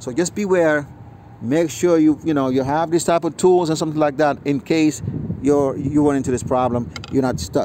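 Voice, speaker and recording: A man at a fairly quick pace, ordinary pitch variation, noticeable background noise. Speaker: mechanic. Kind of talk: tutorial. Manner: fast; casual with many fillers.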